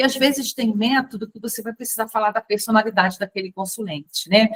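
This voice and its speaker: A woman at a very fast pace and fairly high pitch, somewhat breathy, with ordinary pitch variation and a dry, close sound with no echo. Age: 50s. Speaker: tarot and fortune-telling teacher. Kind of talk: online class lecture. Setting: recorded video call. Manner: casual, chatty.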